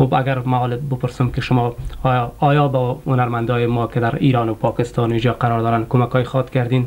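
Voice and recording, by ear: The voice has a slightly mellow tone and little pitch movement, with faint background noise behind it. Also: man, medium pitch for a man.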